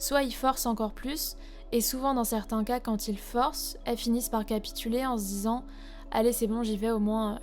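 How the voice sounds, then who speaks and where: Over background music, a woman speaks at a moderate pace with ordinary pitch variation. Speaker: podcast host. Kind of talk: podcast narration.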